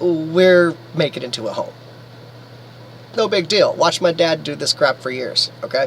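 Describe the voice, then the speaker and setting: With noticeable background noise, a man speaks at a high pitch, leaving long, frequent pauses. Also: ordinary pitch variation, moderate pace. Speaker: vlogger living in an RV. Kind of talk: casual video blog. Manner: halting, many fillers.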